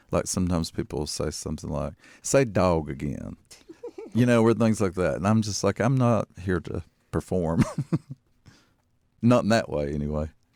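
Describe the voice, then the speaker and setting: Lively in intonation yet very deep and low in pitch, a man with an Appalachian accent talks at a moderate pace with long, frequent pauses. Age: 50s. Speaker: poet and fiction writer. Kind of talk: interview. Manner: conversational.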